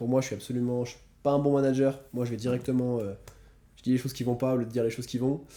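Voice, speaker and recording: A man speaks at a very fast pace in a dark, mellow tone with a medium pitch. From France. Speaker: entrepreneur, financial advisor. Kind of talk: casual interview. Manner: animated.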